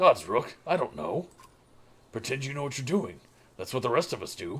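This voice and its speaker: Putting on a character voice, a man speaks at a moderate pace in a raspy, fairly high pitch with big swings in loudness. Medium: actual play. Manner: blunt, gruff.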